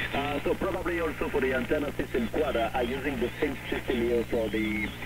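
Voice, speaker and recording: Over noticeable background noise and audible room echo, a man talks at a fairly quick pace with very even loudness and ordinary pitch variation. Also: medium pitch for a man. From France. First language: French. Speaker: CB radio operator. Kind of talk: radio conversation. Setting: radio contact. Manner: halting.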